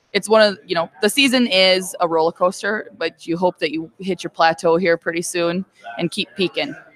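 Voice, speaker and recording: With an American accent, a woman talks at a moderate pace in a medium pitch with ordinary pitch variation, the sound dry and close with no echo. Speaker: high school girls basketball coach. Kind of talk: radio interview. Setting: radio studio. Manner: loud voice.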